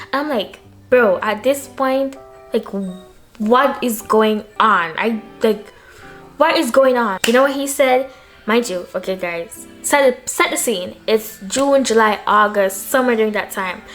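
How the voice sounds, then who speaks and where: Over music in the background, a woman speaks in an animated tone with a fairly high pitch. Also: ordinary pitch variation, fairly slow pace. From Jamaica. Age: young. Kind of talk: casual talk to camera. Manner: chatty, animated.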